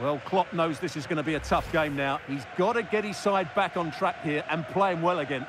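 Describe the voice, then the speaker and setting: Over noticeable background noise, a man with high pitch and an enthusiastic tone talks at a moderate pace with hardly any pauses and ordinary pitch variation. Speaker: football co-commentator, analyst. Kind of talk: sports co-commentary, analysis of replays. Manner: measured, analytical, warmly enthusiastic on replays.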